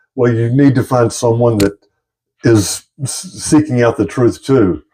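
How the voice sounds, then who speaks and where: At a moderate pace, a man speaks in a medium-pitched voice with a dark, mellow tone. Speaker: YouTuber discussing UFOs and spirituality. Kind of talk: casual monologue to camera. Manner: halting, self-described stuttering.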